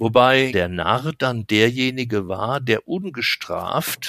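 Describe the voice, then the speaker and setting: With lively intonation and a bright, sharp tone, a man talks very slowly at a medium pitch. The sound is dry and close with no echo, and the recording is very clean against a silent background. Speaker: carnival association official. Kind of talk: interview.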